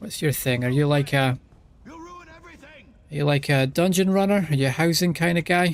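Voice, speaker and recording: Speaking in a Scottish accent, a man keeps a moderate pace at a fairly high pitch. His delivery has long, frequent pauses. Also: ordinary pitch variation. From Scotland. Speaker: streamer. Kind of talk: casual live-stream gaming commentary. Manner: repetitive, halting.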